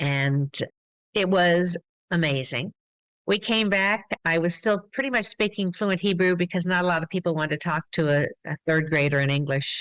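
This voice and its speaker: A woman with an American accent and a fairly low pitch speaks at a moderate pace with ordinary pitch variation and very even loudness, in an unremarkable speaking voice. The very clean recording is dry and close with no echo, over a silent background. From US Midwest and Massachusetts. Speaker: glass artist and studio owner. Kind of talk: interview.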